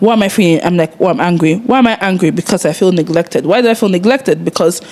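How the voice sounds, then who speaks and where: Against noticeable background noise, a woman with a medium pitch talks at a very fast pace, with very even loudness and ordinary pitch variation. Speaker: podcast co-host. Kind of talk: casual chat.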